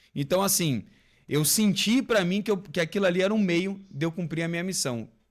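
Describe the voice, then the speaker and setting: A high-pitched man with a Rio de Janeiro accent, on a very clean recording over a silent background. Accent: Rio de Janeiro (carioca). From Rio de Janeiro, Brazil. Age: 30s. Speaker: former military police officer. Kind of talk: podcast interview.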